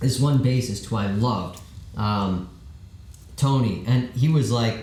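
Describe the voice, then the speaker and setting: Audible room echo surrounds a man's somewhat breathy, dark, mellow voice as he speaks at a fairly slow pace with ordinary pitch variation. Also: medium pitch for a man. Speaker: rock band vocalist. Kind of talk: casual chat. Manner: animated.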